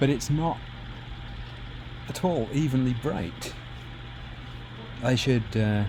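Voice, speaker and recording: Against noticeable background noise, someone with an American accent speaks at a very slow pace, leaving long, frequent pauses. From UK. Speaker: retrocomputing hobbyist streamer. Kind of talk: casual live stream chat. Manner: casual, thinking aloud with fillers.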